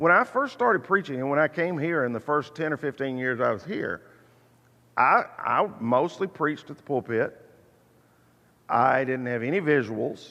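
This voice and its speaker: A man's bright, sharp voice, fairly high-pitched, with lively intonation over a quiet background. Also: moderate pace. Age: 60s. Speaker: preacher teaching Bible class. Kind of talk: Bible class lecture. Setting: church auditorium.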